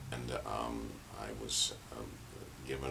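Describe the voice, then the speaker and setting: With audible room echo and noticeable background noise, a man in an American accent speaks with a very deep, low pitch. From San Francisco, California. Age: 70s. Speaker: painter and performance artist. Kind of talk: interview monologue. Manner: halting, many fillers.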